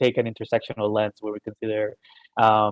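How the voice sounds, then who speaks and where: With a Spanish accent, this voice has a dry sound with no echo over a quiet background. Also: man. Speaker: webinar host. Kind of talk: webinar moderation. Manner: halting. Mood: friendly, appreciative. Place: home room.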